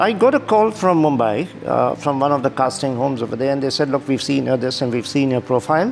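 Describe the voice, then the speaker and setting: Over music in the background, a man at medium pitch talks at a very fast pace with ordinary pitch variation. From India. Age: 60s. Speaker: model. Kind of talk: interview.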